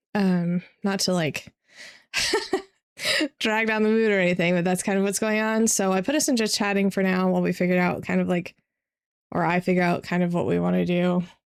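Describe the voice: In a very clean recording with a silent background, a woman speaks at a moderate pace with a fairly low pitch, a clear, smooth tone, vocal fry and little pitch movement.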